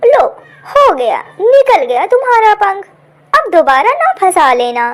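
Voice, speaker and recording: This cartoonish character voice has very wide pitch swings. It moves at a fairly slow pace. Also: woman, extremely high pitch for a woman. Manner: warm, friendly.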